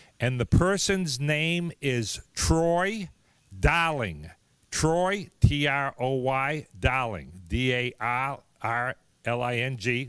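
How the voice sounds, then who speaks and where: A man with a Boston accent, medium pitch and a very slow pace, on a very clean recording with a silent background. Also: lively intonation. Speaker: raffle announcer for a car museum. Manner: casual, conversational.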